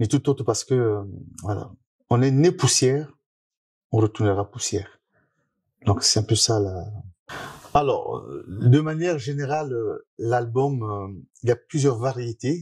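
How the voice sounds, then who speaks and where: At a fairly slow pace with long, frequent pauses, a man speaks in a somewhat breathy, dark, mellow voice of medium pitch with ordinary pitch variation over a quiet background. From Republic of the Congo. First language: Lari (Kikongo) (speaking French). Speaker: musician. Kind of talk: interview. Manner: hesitant, many fillers.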